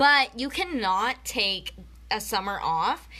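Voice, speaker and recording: A woman with a medium-pitched voice sounds animated, her tone bright and sharp with some vocal fry and ordinary pitch variation. The recording is very clean, with a silent background. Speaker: network marketing presenter. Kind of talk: live video training. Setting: Facebook live video.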